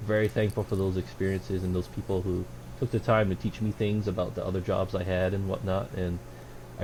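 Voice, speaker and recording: This man's voice has a very deep, low pitch and a dark, mellow tone. He sounds somewhat breathy and speaks at a fairly quick pace. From Hawaii, Honolulu west side. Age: 30s. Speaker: electrician apprentice. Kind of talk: interview conversation.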